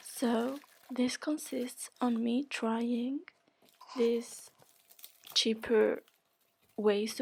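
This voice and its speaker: In a non-native accent, a woman speaks at a high pitch with fairly even intonation. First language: not English. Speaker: beauty YouTuber. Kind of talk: tutorial. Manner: casual, hesitant with fillers.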